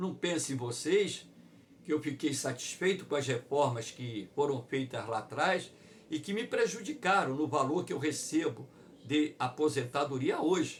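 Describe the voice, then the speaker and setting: In a room with audible echo, a somewhat breathy man with a fairly high pitch speaks at a fairly slow pace with lively intonation. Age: 60s. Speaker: geography teacher. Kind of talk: online lecture.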